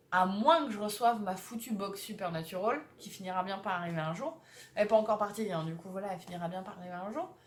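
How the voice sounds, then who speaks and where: Her loudness swinging widely, a woman speaks at a very fast pace with a medium pitch and ordinary pitch variation. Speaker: vlogger. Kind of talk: casual vlog.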